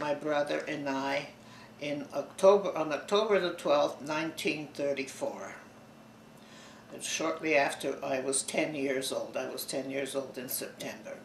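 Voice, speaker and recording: A man speaks at a fairly slow pace in a fairly high pitch, with ordinary pitch variation, big swings in loudness and audible room echo. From Bulgaria (Sofia), then Toronto from age ten. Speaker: oral history interviewee. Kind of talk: oral history interview.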